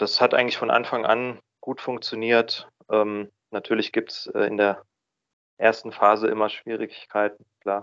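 Over a quiet background, a man at medium pitch talks at a fairly slow pace in a monotone, flat intonation. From Baden, southwest Germany (Freiburg). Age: 30s. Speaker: recovering drinker, office employee. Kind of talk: interview. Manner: hesitant, many filler sounds.

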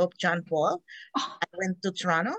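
A woman at a moderate pace, with a Filipino accent, in a dry, close sound with no echo. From Philippines (Negros Occidental). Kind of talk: casual interview, faith story. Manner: energetic, animated.

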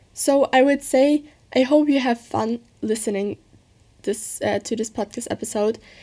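The voice has a German accent and a dark, mellow tone. It moves at a fairly slow pace. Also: woman. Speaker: podcaster. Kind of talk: casual monologue.

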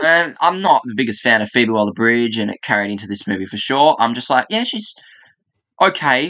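At a fairly quick pace, a man speaks in a plain, everyday voice of medium pitch. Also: quiet background. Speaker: stop motion animator. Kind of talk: casual chat.

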